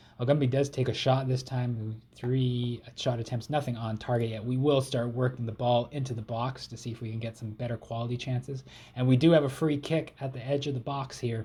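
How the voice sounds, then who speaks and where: Barely pausing, a man with a Canadian accent speaks at a fairly quick pace in a medium-pitched, somewhat breathy voice with a dark, mellow tone and monotone, flat intonation. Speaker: gaming YouTuber. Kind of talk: video game let's play commentary. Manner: casual, play-by-play.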